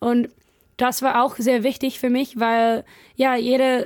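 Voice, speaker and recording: Very slow speech with an English accent on a very clean recording with a silent background. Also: woman. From California, US. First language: English (speaking German). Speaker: missionary. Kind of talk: casual chat. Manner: halting.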